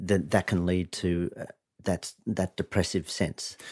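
A man with an Australian accent speaks at a moderate pace in a very deep, low voice. The recording is very clean, with a silent background and a dry, close sound with no echo. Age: 50s. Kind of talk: interview.

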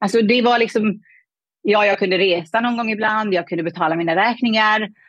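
A woman's fairly high-pitched, normal speaking voice at a fairly quick pace with lively intonation. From Afghanistan. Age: 30s. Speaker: money mindset coach. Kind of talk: interview conversation.

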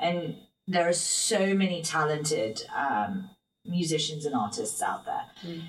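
A woman with a London accent talks at a fairly slow pace, her voice fairly low in pitch. Her pitch swings very widely. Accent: British English, London. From London, England. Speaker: singer and motivational speaker. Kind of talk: casual interview chat.

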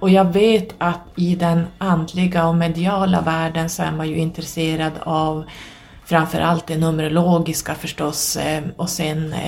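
With noticeable background noise around her, a woman speaks in monotone, flat intonation. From northern Sweden. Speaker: podcast host. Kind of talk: solo monologue.

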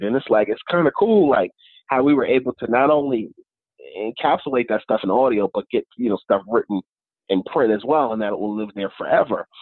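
A man speaks at a fairly quick pace with lively intonation and a slightly husky edge. The sound is dry and close, with no echo. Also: medium pitch for a man.

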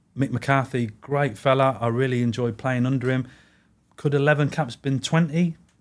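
Speaking at a fairly slow pace in an English Midlands accent, a man keeps a medium pitch, fairly even intonation and very even loudness. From English Midlands (Warwick, Leamington). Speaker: goalkeeping coach, former pro goalkeeper. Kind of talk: casual interview.

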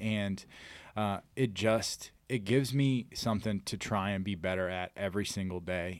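A man with an American accent speaks in a normal speaking voice at a fairly low pitch, with ordinary pitch variation. The recording is very clean, with a silent background. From Missouri, Farmington area. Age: 30s. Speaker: MMA fighter and jiu-jitsu coach. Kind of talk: casual chat.

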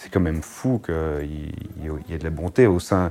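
Noticeable background noise sits behind a man whose voice is very deep and low. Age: 30s. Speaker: firefighter paramedic. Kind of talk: interview.

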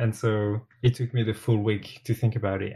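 A man with a French accent, somewhat breathy and medium in pitch, at a moderate pace with fairly even intonation. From France. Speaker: TV sewing competition contestant. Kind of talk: casual chat.

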